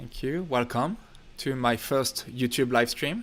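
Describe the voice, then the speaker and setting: A man with a French accent at a fairly slow pace. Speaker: filmmaker and YouTuber. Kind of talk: livestream Q&A. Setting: home studio livestream. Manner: casual, relaxed. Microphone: technical issues on the stream.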